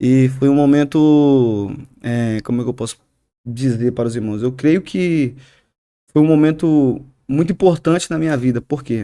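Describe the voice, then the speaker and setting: Leaving long, frequent pauses, a man speaks with a dark, mellow tone. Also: fairly high pitch for a man, ordinary pitch variation, moderate pace. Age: 20s. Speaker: barber shop owner and church youth leader. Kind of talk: testimony. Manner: hesitant, with frequent fillers and repetitions.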